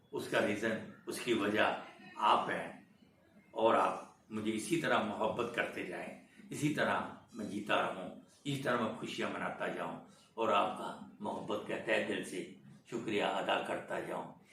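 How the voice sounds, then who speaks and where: Room echo is audible as a man speaks at a medium pitch with ordinary pitch variation. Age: 80s+. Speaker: veteran film industry actor. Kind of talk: interview, life story. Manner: animated storytelling.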